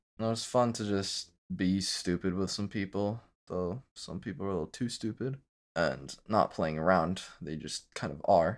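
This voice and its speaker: Using a plain, everyday voice, a man speaks at a moderate pace in a fairly low pitch with ordinary pitch variation. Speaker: recent army basic training returnee. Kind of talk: casual chat, recounting experiences.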